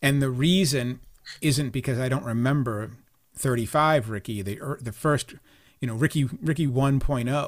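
At a moderate pace, a man with medium pitch and ordinary pitch variation talks in an unremarkable speaking voice. The recording is very clean, with a silent background. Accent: American. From Boston. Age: 50s. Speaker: sports writer and author. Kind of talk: casual interview chat.

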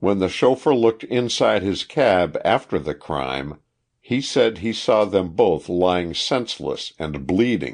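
A man speaks fairly slowly at a fairly low pitch, with very wide pitch swings. Vocal fry runs through his voice. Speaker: audiobook narrator. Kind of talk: audiobook reading of a historical true-crime narrative. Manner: even, measured, formal narrator pace.

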